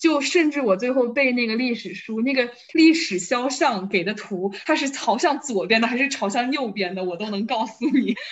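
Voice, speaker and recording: Delivered at a moderate pace with hardly any pauses, the speech carries lively intonation against noticeable background noise. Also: woman, high pitch for a woman. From Wuhan, China. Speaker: fitness enthusiast. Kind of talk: casual chat.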